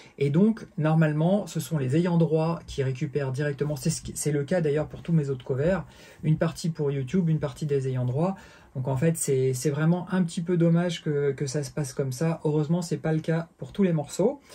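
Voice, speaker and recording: The voice has a dark, mellow tone and fairly even intonation, moving at a moderate pace. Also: man, fairly high pitch for a man. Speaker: bass teacher. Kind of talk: tutorial. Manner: halting, many fillers.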